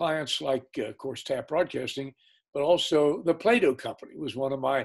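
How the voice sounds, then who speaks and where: The speaker has vocal fry and ordinary pitch variation at a moderate pace. The background is quiet. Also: man. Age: 80s+. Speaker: retired business executive and lawyer. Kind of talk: interview answer. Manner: storytelling. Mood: warm, relaxed. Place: home room. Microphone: video call.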